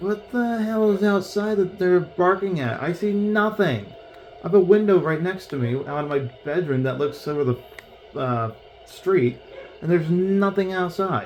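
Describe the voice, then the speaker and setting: Over noticeable background noise, a man speaks at a moderate pace with a high pitch and lively intonation. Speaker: gaming streamer. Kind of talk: gameplay commentary. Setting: home bedroom. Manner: animated.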